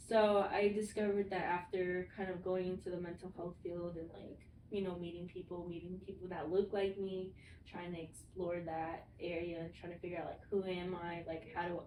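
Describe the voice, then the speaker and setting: The voice has a dark, mellow tone and monotone, flat intonation, moving at a moderate pace with audible room echo. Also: woman, fairly low pitch for a woman. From US, Vietnamese immigrant family. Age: 20s. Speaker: mental health professional, podcast co-host. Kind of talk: casual chat. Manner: casual, filler-heavy.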